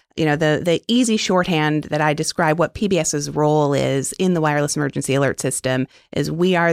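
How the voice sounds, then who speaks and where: A woman with an American accent speaks at a very deep, low pitch with ordinary pitch variation, moving at a fairly quick pace with hardly any pauses. The very clean recording has a silent background and a dry, close sound with no echo. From New York City. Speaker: public broadcasting executive. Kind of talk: interview.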